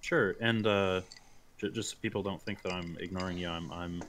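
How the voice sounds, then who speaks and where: A man talks at a moderate pace in a very deep, low pitch. His intonation is fairly even. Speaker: campaign organizer and gamer. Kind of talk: casual chat, livestream. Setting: livestream with chat.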